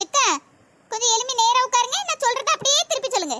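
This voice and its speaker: A woman in a cartoonish character voice, squeaky and extremely high, with ordinary pitch variation, a fairly quick pace and a dry, close sound with no echo. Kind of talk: comic village gossip. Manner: boastful, chatty.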